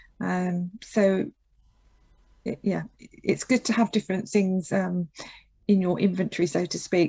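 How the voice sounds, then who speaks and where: A woman at a moderate pace, medium in pitch and somewhat breathy. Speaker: occupational therapist leading a seminar. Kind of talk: Q&A in online seminar. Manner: speeds up when excited.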